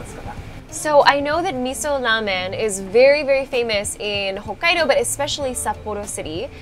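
Faint music plays in the background. A woman talks at a moderate pace in a high voice. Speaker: food travel host. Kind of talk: casual vlog chat and interview questions. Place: cafe.

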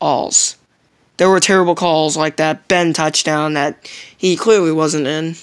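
Very deep and low, a woman's voice moves at a fairly slow pace with fairly even intonation against a quiet background. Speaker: sports fan vlogger. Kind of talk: angry sports rant to camera. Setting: solo video recording. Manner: ranting, indignant, repetitive, stumbling over words; emphatic, complaining. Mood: frustrated, complaining about referees. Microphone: phone near.

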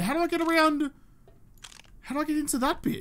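This man talks with an Australian accent. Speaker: gaming YouTuber. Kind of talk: let's play commentary. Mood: playful, mildly frustrated. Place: home room. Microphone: studio mic.

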